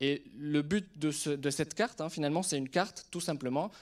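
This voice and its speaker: This is a normal speaking voice at a fairly quick pace. The recording is very clean, with a silent background. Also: man. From Lebanon. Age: 30s. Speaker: surgeon and startup CEO. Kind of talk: conference talk to an audience.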